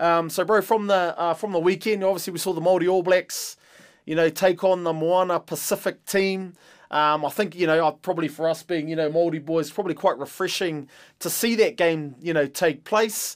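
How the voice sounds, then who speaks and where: On a very clean recording with a silent background, a man with a New Zealand accent speaks fairly quickly in a high pitch with fairly even intonation. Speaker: podcast host, former rugby player. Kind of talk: casual chat.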